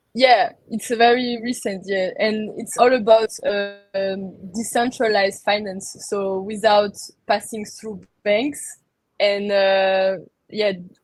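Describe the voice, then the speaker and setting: A woman with a French accent speaks very slowly at a fairly high pitch. Her intonation is fairly even, but her loudness swings a lot. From France. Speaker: crypto industry worker and entrepreneur. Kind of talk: interview conversation. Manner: halting.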